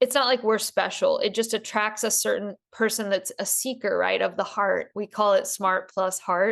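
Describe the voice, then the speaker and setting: A woman speaks with a slight Southern US accent at a moderate pace. She hardly pauses, and the background is quiet. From US South. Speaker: podcast host. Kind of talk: casual chat.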